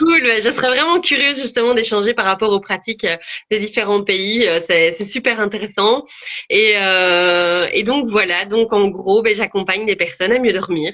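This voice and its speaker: At a moderate pace, a woman with a fairly high pitch speaks with very even loudness. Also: ordinary pitch variation. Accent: Belgian. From Belgium. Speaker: psychologist. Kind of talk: interview. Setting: video livestream. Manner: hesitant, many fillers.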